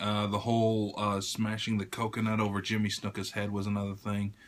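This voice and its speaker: Quiet and fairly low in pitch, a man talks at a moderate pace. His intonation is monotone and flat. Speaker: YouTuber. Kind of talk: casual vlog tribute. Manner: quiet, keeping voice down; hesitant, many fillers.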